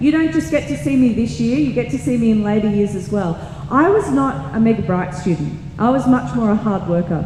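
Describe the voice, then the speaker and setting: A woman with an Australian accent talks at a fairly quick pace and a medium pitch with very wide pitch swings, amid noticeable background noise and audible room echo. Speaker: teacher. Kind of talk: presentation to parents and students. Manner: fast.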